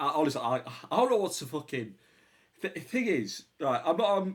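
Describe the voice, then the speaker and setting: With a British accent, a man speaks using lively intonation. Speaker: reaction video youtuber. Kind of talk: casual reaction commentary. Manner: loud.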